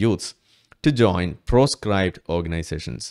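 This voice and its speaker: Against a quiet background, a man talks with a fairly low pitch. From Kerala. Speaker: YouTube commentator. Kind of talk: political commentary monologue. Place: home room. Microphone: studio mic.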